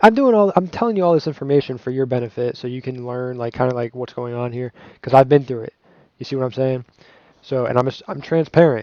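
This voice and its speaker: Talking very fast at a medium pitch, a man shows ordinary pitch variation and big swings in loudness. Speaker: gaming YouTuber. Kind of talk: unboxing review. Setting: home recording with music playing. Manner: halting, many fillers and restarts.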